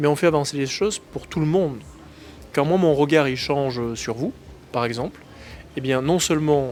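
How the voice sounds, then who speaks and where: Here a man speaks with a fairly high pitch and ordinary pitch variation. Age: 30s. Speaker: politician. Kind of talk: interview. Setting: in Morocco. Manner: frequent hesitations (euh).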